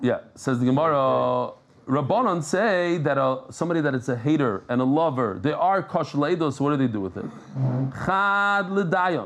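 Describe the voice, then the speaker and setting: At a moderate pace, a man with a New York accent sounds animated, his fairly high voice carrying lively intonation. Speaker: Talmud teacher. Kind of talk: Talmud lesson.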